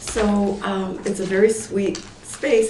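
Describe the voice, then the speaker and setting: A woman talks at a medium pitch, with audible room echo in the recording. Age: 60s. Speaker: Pilates and yoga instructor. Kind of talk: public meeting testimony. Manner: hesitant, many fillers.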